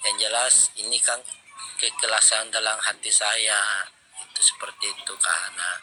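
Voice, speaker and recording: Over music in the background, a man speaks at a fairly slow pace with a Makassar accent. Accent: Makassar Indonesian. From Makassar, South Sulawesi. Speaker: live stream participant. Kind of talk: public apology in live chat. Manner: halting, stammering.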